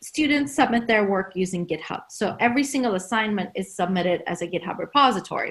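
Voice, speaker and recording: A somewhat breathy woman with a Turkish accent talks at a fairly quick pace with lively intonation in a very clean recording with a silent background. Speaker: university lecturer. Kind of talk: conference talk.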